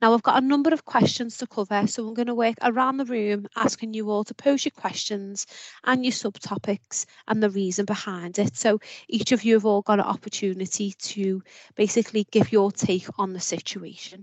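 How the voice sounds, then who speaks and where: This woman's voice is fairly high in pitch with fairly even intonation. She talks at a fairly quick pace. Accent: British. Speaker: podcast host. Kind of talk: panel discussion.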